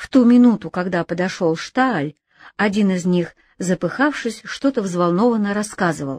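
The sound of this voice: Ordinary pitch variation marks an unforced reading voice, heard over a quiet background.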